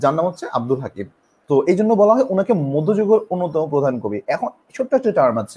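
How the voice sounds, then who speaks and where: A man with a high voice and a dark, mellow tone swings very widely in pitch, heard in a dry, close sound with no echo. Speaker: online teacher. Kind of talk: live-streamed lecture. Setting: live stream.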